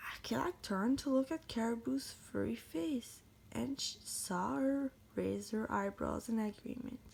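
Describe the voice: Speaking at a fairly slow pace, a woman with vocal fry and a slightly mellow tone holds a fairly high pitch with ordinary pitch variation.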